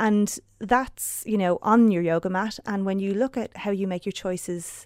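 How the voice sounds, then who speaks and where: A woman's medium-pitched, ordinary speaking voice in a very clean recording with a silent background. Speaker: yoga teacher and wellness writer. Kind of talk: casual chat. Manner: calm, soothing.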